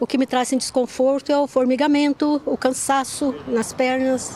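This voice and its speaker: A woman talks at a high pitch while noticeable background noise carries on. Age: 70s. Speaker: viewer asking question. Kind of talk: viewer question.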